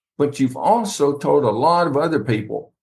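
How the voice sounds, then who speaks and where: Somewhat breathy, fairly high speech from a man, paced fairly slowly. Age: 70s. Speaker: author. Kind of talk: interview.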